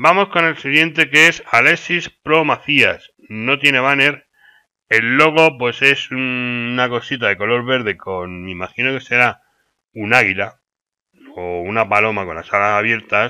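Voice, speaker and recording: Recorded very cleanly against a silent background, a man of medium pitch uses a bright, sharp tone and lively intonation at a fairly slow pace. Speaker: YouTuber. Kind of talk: casual commentary.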